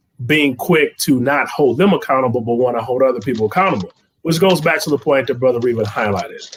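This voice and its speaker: A man with an American accent, an ordinary speaking voice, medium pitch and ordinary pitch variation. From Detroit. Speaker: business co-founder. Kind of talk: panel discussion.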